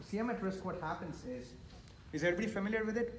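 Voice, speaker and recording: Audible room echo surrounds a man speaking at a very fast pace with ordinary pitch variation. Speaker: architect and VDC manager, panel speaker. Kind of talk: conference presentation.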